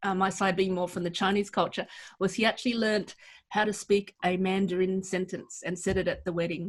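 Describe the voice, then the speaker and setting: In a very clean recording with a silent background, a woman speaks fairly quickly at a medium pitch, somewhat breathy and in a monotone, flat intonation. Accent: Australian. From Australia. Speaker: pastor. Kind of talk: interview.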